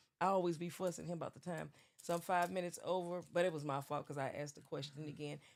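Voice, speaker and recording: The speaker is a woman with a Southern US accent. She talks fairly quickly. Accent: Southern twang. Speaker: livestream show host. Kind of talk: casual chat. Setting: livestream.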